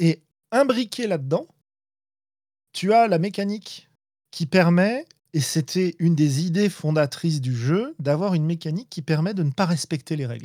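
A man speaks at a high pitch in a dark, mellow tone with lively intonation. He goes at a fairly slow pace with long, frequent pauses, in a dry, close sound with no echo. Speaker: tabletop game designer and podcaster. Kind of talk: casual chat. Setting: live online stream.

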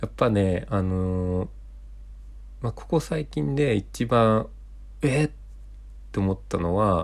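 This man speaks at a fairly low pitch with lively intonation. His pace is very slow, with long, frequent pauses. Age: 20s. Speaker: podcast co-host, office worker. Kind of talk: casual chat.

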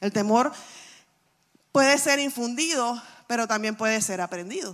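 A woman with a fairly high pitch and a bright, sharp tone speaks at a moderate pace, sounding animated with ordinary pitch variation. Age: 40s. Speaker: pastor. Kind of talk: sermon.

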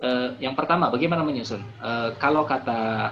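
The man's medium-pitched voice comes through clearly audible background noise. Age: 30s. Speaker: life coach reviewing a book. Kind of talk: online book discussion talk. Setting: video call. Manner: hesitant, many fillers and repetitions.

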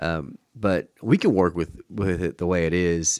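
With an American accent, a man speaks at a very deep, low pitch, the sound dry and close with no echo on a very clean recording with a silent background. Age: 20s. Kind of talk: interview.

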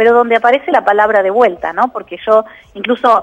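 A woman talks at a fairly high pitch in a Rioplatense accent. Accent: Argentine Rioplatense Spanish. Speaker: psychologist and author. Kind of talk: radio interview.

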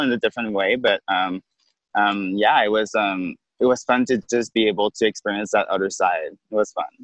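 A man in a Quebec accent at a fairly quick pace. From Quebec City. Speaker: drag queen. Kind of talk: interview. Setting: outdoors on a beach.

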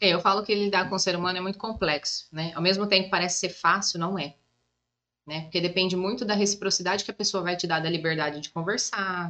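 Talking very rapidly, a woman keeps her intonation fairly even. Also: medium pitch for a woman. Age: 30s. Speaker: psychoanalyst and massage therapist. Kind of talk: casual chat.

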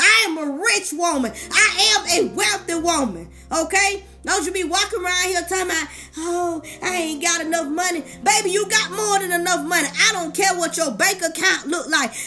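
A woman's extremely high, raised and projected voice, animated and warm in tone, at a moderate pace with ordinary pitch variation, against noticeable background noise. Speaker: life coach and motivational speaker; podcaster. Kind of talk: sermon-style motivational preaching. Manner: animated, call-and-response preacher cadence; warm, encouraging, fervent.

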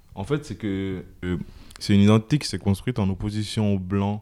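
Fairly low in pitch with a dark, mellow tone, a man speaks at a fairly slow pace with fairly even intonation. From Comoros, then Marseille area from early teens. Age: young. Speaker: podcast host. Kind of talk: casual chat. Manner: halting, frequent repetitions.

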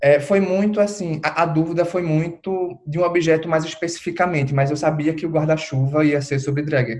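This man has a normal speaking voice, a fairly high pitch and a moderate pace. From Recife, Brazil. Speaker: drag artist and postgraduate researcher. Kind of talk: casual interview.

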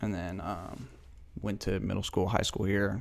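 In an American accent, a man speaks at a fairly low pitch and moderate pace, with vocal fry and ordinary pitch variation. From US Pacific Northwest, Spokane area. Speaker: podcast host, clothing brand co-founder. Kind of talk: casual chat.

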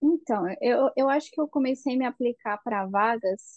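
A high-pitched woman's voice at a fairly slow pace. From Brazil. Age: 20s. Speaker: chemical engineer, Brazilian immigrant. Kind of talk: podcast interview.

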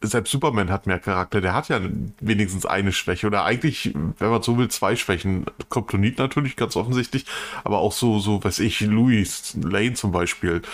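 The man has an unremarkable speaking voice, fairly low in pitch, with ordinary pitch variation. He keeps a moderate pace and very even loudness. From northern Germany. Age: 40s. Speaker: podcast co-host. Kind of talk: casual chat.

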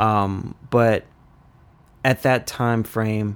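Here a man talks in an American accent with fairly even intonation. His pitch sits at a medium level. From Washington DC. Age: 20s. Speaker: young professional. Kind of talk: casual chat.

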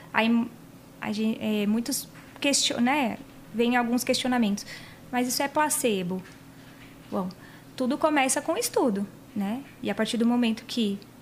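A woman speaks at a high pitch with ordinary pitch variation. Her speech has long, frequent pauses. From Paraná, Brazil. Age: 30s. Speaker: body piercer and physiotherapist. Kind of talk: casual chat. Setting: studio.

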